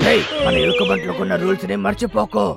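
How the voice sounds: Over faint music, a man in a cartoonish character voice talks fast at a high pitch with vocal fry, a fairly bright tone and ordinary pitch variation.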